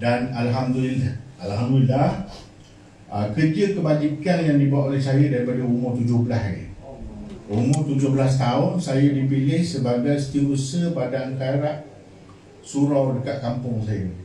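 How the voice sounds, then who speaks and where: A man with a medium-pitched voice talks at a moderate pace with ordinary pitch variation. Noticeable background noise and audible room echo fill the recording. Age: 60s. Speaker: charity organization leader. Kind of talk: formal speech at charity event. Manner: halting.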